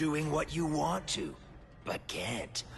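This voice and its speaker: A man uses a put-on character voice of fairly high pitch over clear background noise. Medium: video game. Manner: creepy, taunting, relishing.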